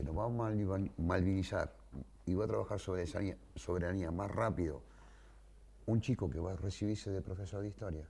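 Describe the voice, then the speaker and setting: A man speaks fairly quickly with a very deep, low pitch and a dark, mellow tone. Vocal fry runs through his voice. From Greater Buenos Aires, Argentina. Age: 60s. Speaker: war veteran. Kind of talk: interview testimony.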